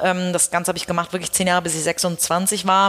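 A woman speaks fairly quickly, and noticeable background noise can be heard. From Hamburg, northern Germany. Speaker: headhunter and company founder. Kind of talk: interview.

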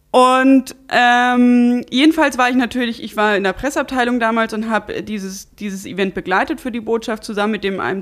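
A woman talks at a moderate pace. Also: hardly any pauses. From Saxony-Anhalt, eastern Germany. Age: 20s. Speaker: politician, parliamentary candidate. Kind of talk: casual interview. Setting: at guest's home. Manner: clear and articulate.

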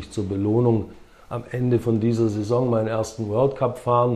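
Somewhat breathy, a man with a dark, mellow tone speaks at a moderate pace in a medium pitch with fairly even intonation. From Swabia, southern Germany (Herrenberg), some childhood years in America. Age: 50s. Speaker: former pro windsurfer and entrepreneur. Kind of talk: casual interview.

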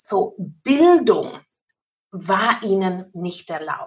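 A woman is speaking. She has an English accent. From England, Cornwall. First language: English (speaking German). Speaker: pastor. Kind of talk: interview. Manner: halting non-native German.

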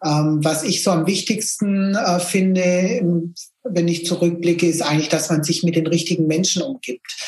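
A woman with an ordinary speaking voice talks at a moderate pace and fairly low pitch, with ordinary pitch variation and very even loudness. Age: 50s. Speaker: business owner, photography studio. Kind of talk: podcast interview.

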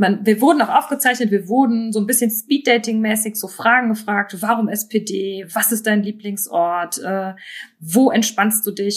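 With a normal speaking voice, a woman talks at a moderate pace, her pitch medium and her pitch variation ordinary. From Mosel region, Germany. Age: 30s. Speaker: local political candidate and historian. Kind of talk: casual interview.

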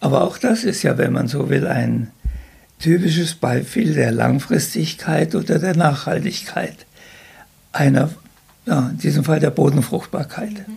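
A man's fairly high voice, fairly slow with long, frequent pauses and lively intonation, over noticeable background noise. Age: 80s+. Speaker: retired agricultural scientist. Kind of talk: casual interview. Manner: halting.

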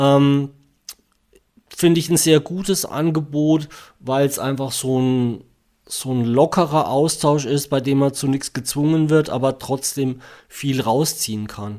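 Speaking very slowly with long, frequent pauses, a man uses a dark, mellow, fairly high voice and fairly even intonation. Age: 40s. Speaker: engineer and patient with NMOSD. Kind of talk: interview. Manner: hesitant, many fillers.

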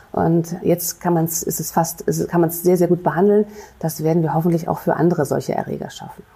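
A woman talks very fast at a fairly low pitch, in a monotone, flat intonation. Noticeable background noise is present. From Rhineland, Germany (Bonn). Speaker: infectious disease physician and professor. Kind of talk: interview. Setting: city hall studio. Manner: hesitant, many fillers.

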